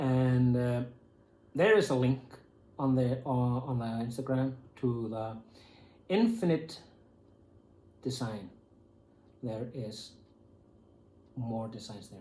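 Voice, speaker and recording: Speaking very slowly at a medium pitch, a man uses a somewhat breathy, dark and mellow tone, with ordinary pitch variation, big swings in loudness and long, frequent pauses. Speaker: YouTuber. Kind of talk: unboxing video, casual talk to camera. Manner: halting, many fillers.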